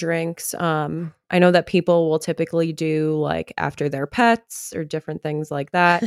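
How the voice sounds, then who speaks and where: In a very clean recording with a silent background and a dry, close sound with no echo, a woman with an unremarkable speaking voice and fairly low pitch speaks at a moderate pace, hardly pausing. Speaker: bride-to-be. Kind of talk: casual chat.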